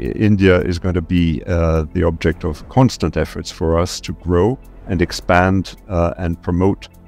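A man's very deep, low voice at a very slow pace, with ordinary pitch variation, a dry sound with no echo and faint music in the background. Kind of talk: interview answer. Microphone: headset.

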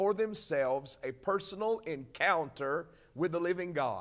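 The intonation is lively and the tone warm. The background is quiet. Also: man. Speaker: preacher. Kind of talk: sermon on a televised broadcast, teaching and exhorting. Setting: broadcast. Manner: earnest, warm and emphatic, pastoral tone, deliberate. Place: office.

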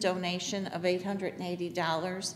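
Light background noise accompanies a woman speaking. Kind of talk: reading meeting minutes and roll call. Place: meeting room.

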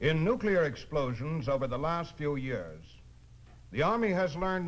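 A man talks at a moderate pace in a fairly high, somewhat breathy voice with lively intonation. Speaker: narrator. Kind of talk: documentary narration. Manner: formal, authoritative.

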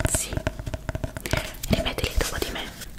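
Whispering, a woman speaks at a very slow pace. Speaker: ASMR creator. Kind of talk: ASMR roleplay, attention test. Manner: soft, whispery, intimate.

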